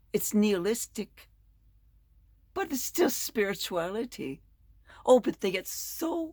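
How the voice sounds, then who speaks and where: A woman speaks at a very slow pace with vocal fry. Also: very clean recording, silent background. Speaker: Bible lesson presenter. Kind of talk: spoken lesson.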